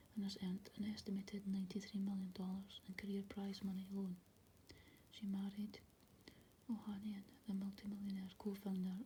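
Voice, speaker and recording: Soft-spoken at a moderate pace, the speaker leaves long, frequent pauses. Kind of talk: soft-spoken ASMR magazine article reading.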